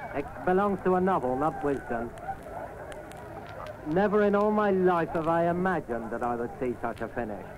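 Over noticeable background noise, a man talks at a fairly quick pace with lively intonation. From England. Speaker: cricket commentator. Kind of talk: live radio sports commentary. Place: stadium. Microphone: old recording.

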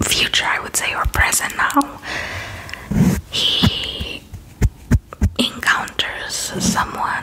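A woman whispering in a relaxed tone at a very slow pace, with long, frequent pauses over noticeable background noise. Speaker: ASMR creator. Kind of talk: casual rambling talk to camera about TV dramas. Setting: recorded at home with background noise and planes passing. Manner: soft, relaxed.

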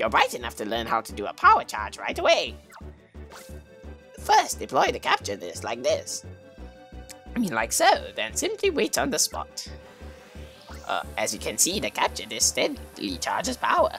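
Over clear background music, a man does a put-on character voice at a moderate pace, with long, frequent pauses. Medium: solo performance. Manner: formal, grandmotherly.

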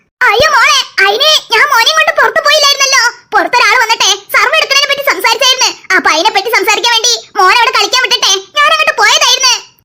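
In a cartoonish character voice, the speaker moves at a fairly quick pace with ordinary pitch variation and very even loudness. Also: woman, extremely high pitch for a woman. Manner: affectionate, homely.

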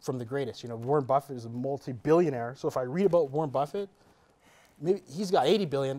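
A man speaks at a fairly quick pace with lively intonation. His tone is dark and mellow. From Canada. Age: 30s. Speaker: entrepreneur and real estate investor; interview guest. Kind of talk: interview. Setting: studio. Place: studio.

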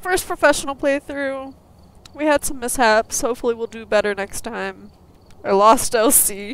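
With big swings in loudness, a woman speaks at a high pitch with ordinary pitch variation. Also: moderate pace. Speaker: gaming YouTuber. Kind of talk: let's play commentary. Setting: online voice chat with a friend. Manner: animated, laughs often.

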